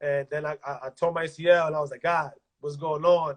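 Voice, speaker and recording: A somewhat breathy male voice, fairly high in pitch, with a dry, close sound and no echo. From Dominican Republic. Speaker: basketball coach and former pro player. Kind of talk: interview. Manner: casual, halting with repetitions.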